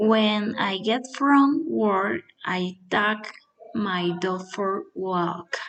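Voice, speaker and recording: Very slow pace from a woman, with ordinary pitch variation. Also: medium pitch for a woman. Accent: Spanish. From Colombia, Boyacá (Chiquinquirá). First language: Spanish. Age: 20s. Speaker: nursing assistant and English learner. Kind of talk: prepared self-introduction for English practice. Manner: halting, with fillers.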